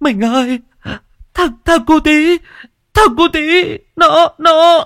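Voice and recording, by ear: In a put-on character voice, a man talks at an extremely high pitch with a fairly bright tone, a slow pace, and ordinary pitch variation, on a very clean recording with a silent background.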